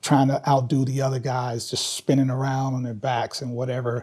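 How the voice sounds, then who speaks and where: Recorded very cleanly against a silent background, a man is heard. His voice is somewhat breathy and his pace is moderate. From Kentucky, Louisville. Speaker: hip hop dance teacher. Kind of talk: interview. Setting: filmed interview. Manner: casual.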